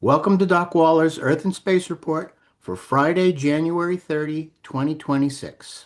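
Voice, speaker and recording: An ordinary speaking voice belongs to a man pitched fairly high, talking at a fairly slow pace with ordinary pitch variation. The background is quiet. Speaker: astronomer and science educator. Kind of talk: podcast host introduction.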